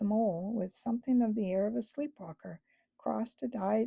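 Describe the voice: Quiet background, plain reading aloud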